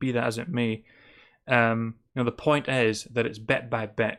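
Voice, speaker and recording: With a Scottish accent, a man speaks in a monotone, flat intonation. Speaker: spirituality podcaster. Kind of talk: monologue commentary.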